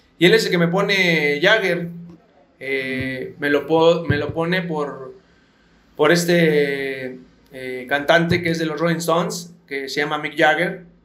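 Speaking at a very slow pace, a man uses a fairly high pitch and fairly even intonation. The room echo is audible. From Mexico City. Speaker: retired professional footballer. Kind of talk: interview. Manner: halting.

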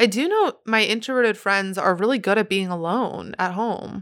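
An unremarkable speaking voice from a woman at a moderate pace, with ordinary pitch variation and a very clean recording over a silent background. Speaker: podcast host; singer. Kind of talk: casual solo podcast chat. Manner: excitable, chatty.

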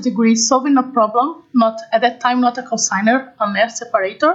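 A woman speaks with a Portuguese accent at a high pitch. Her pace is fairly quick, and her pitch varies in an ordinary way. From Brazil. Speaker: combustion engineering consultant. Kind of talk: interview. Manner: halting.

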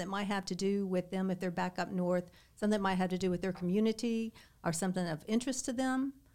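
A woman with a Kentucky accent, medium pitch and fairly even intonation. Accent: US Southern (Kentucky). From Southern Kentucky. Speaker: real estate broker. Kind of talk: interview. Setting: studio.

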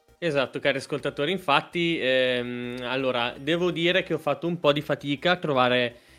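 Music plays behind a man who talks at a fairly quick pace with hardly any pauses, his fairly high voice showing ordinary pitch variation. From Modena, Italy. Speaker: podcast host. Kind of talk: casual chat.

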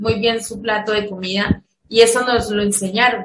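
Speaking in a plain, everyday voice, a woman keeps a moderate pace and fairly even intonation. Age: 40s. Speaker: education academic. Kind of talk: interview.

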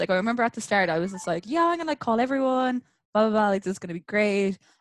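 A woman talks at a very fast pace in an Irish accent. The sound is dry and close, with no echo. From Ireland, countryside. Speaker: podcast guest. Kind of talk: casual chat.

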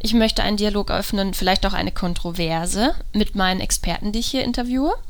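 Audible room echo surrounds a woman whose pitch varies an ordinary amount. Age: 20s. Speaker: psychologist and podcast host. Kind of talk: solo podcast monologue.

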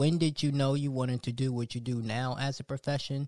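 At a moderate pace, a man talks with a slightly mellow tone, medium pitch and fairly even intonation.

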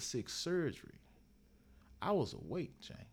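Vocal fry runs through this man's speech. His pace is moderate. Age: 40s. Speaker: motivational speaker and author. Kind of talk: interview, personal testimony.

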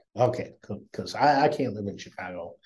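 Somewhat breathy and dark, mellow in tone, a man with an American accent speaks with lively intonation. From US Midwest, northwest Iowa. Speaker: tech startup founder. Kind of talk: interview. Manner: halting, many fillers.

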